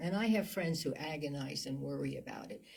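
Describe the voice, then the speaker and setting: A somewhat breathy woman at a moderate pace with lively intonation. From New Jersey. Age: 80s+. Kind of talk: interview. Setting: studio.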